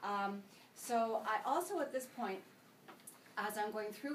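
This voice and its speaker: A woman with a Canadian accent talks at a moderate pace in a fairly high voice with ordinary pitch variation, and audible room echo can be heard. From Canada. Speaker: senior move manager. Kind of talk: sales presentation.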